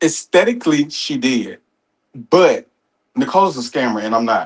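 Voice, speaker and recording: At a moderate pace, a man speaks at a fairly high pitch. His pitch swings very widely. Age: 30s. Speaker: web show personality. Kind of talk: casual chat. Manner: halting.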